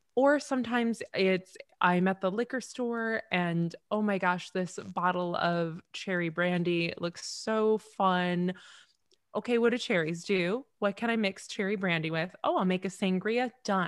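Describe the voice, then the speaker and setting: In a plain, everyday voice, a woman speaks at a medium pitch. Her pace is fairly slow, with ordinary pitch variation. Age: 30s. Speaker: bartender and TikToker. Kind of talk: casual chat.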